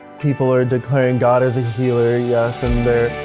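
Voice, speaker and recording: A man speaks at a fairly slow pace with an American accent and a medium pitch. Music plays in the background. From New Jersey. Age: 20s. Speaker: ministry intern. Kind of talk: personal testimony interview.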